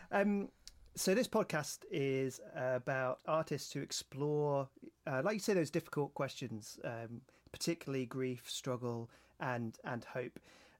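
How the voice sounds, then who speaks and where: At a fairly slow pace, a man with a British accent and a fairly high pitch shows ordinary pitch variation in a very clean recording with a silent background. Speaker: podcast host. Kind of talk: casual chat.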